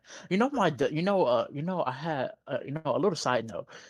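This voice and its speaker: With very wide pitch swings, a man talks at a high pitch. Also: quiet background. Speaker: podcast host. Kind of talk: casual chat. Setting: live stream. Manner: halting, many fillers.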